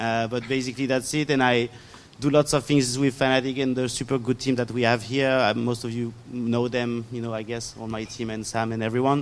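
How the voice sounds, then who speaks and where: A man with a French accent speaks fairly quickly at a medium pitch, his intonation monotone and flat. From France. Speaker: esports apparel executive. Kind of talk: panel discussion.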